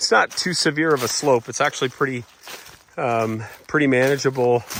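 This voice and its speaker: Medium-pitched male voice with fairly even intonation over noticeable background noise. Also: fairly quick pace. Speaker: real estate agent. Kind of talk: walking property tour. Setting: outdoors in woods. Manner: loud; casual, many fillers.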